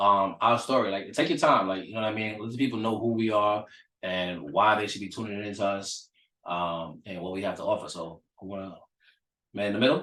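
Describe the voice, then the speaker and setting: In a bright, sharp tone, a man speaks with ordinary pitch variation. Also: fairly low pitch for a man, fairly quick pace, big swings in loudness. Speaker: motivational speaker. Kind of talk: casual chat. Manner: energetic.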